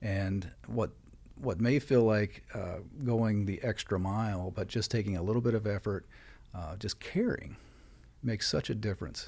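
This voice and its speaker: On a very clean recording with a silent background, a somewhat breathy man with an American accent speaks at a moderate pace, his fairly low pitch showing ordinary variation. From West Virginia. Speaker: credit union CEO. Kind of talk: podcast interview.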